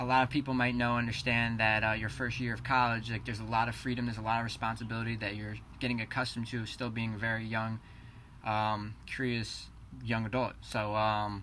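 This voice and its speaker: A man with a New Jersey accent, a bright, sharp tone, a fairly quick pace and monotone, flat intonation, with audible room echo. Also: medium pitch for a man. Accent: New Jersey American. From New Jersey, Keyport. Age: 20s. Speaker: college student. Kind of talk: class introduction presentation.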